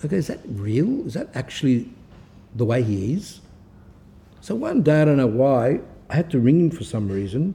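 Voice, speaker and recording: A man's fairly high, somewhat breathy voice with a dark, mellow tone, very wide pitch swings and long, frequent pauses. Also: moderate pace. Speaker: Orthodox priest-monk giving spiritual talks. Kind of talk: religious talk. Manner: sometimes slurred or halting; unpolished pronunciation.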